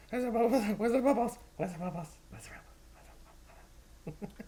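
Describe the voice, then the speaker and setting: In a put-on character voice, the speaker goes very fast in a sing-song, fairly high-pitched delivery. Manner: excited, sing-song.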